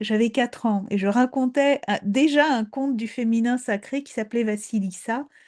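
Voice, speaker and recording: This voice has a Polish accent and a dark, mellow tone, with ordinary pitch variation. It moves at a very slow pace, the sound dry and close with no echo. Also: woman, quiet background. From Poland. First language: Polish (speaking French). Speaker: storyteller. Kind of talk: talk on fairy tales. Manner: hesitant, repeats words.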